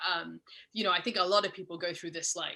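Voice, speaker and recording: A woman talks at a very fast pace with a slight Mid-Atlantic accent. Her tone is bright and sharp. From Scotland. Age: 40s. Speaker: sewing pattern business owner. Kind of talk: podcast interview.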